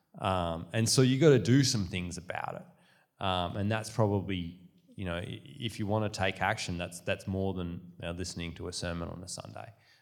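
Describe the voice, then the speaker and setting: Heard with audible room echo, a man with an Australian accent speaks at a fairly quick pace in a very deep, low voice, with ordinary pitch variation and big swings in loudness. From Western Australia, Perth. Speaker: author and small business owner, guest speaker. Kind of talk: sermon. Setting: church with audience. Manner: casual with many fillers.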